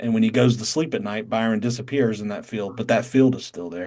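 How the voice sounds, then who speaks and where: A man speaks in a Southern accent at a medium pitch. His pace is fairly quick. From North Carolina. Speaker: satsang teacher. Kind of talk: spiritual teaching on video call. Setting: video call.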